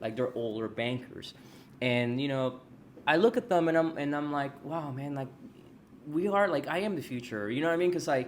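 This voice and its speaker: In an American accent, a man with an unremarkable speaking voice talks at a moderate pace in a fairly high pitch with lively intonation. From Texas. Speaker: podcast host and loan officer. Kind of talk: casual interview.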